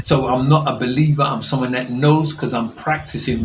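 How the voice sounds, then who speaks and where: Audible room echo and noticeable background noise surround a man talking at a moderate pace with a medium pitch. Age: 60s. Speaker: pastor giving a health talk. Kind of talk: health talk to an audience.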